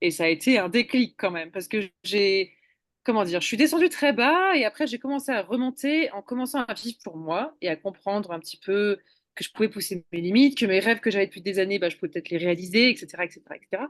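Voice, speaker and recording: Against a quiet background, a woman talks at a very fast pace in a medium pitch, her loudness swinging widely, with a dry, close sound and no echo. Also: lively intonation. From eastern France, Ain (between Lyon and Geneva). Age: 30s. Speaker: hitchhiking world traveller. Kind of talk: interview.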